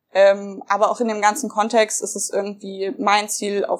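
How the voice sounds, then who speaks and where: Her voice is a plain, everyday voice, fairly high for a woman, with fairly even intonation at a moderate pace on a very clean recording with a silent background. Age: 20s. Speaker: young party politician. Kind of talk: interview.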